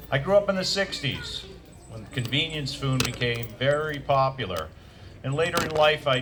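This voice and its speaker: A man with an American accent and fairly high pitch at a moderate pace, over noticeable background noise. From Maine, US. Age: 60s. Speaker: navy veteran and nutritionist speaker. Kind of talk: presentation to audience.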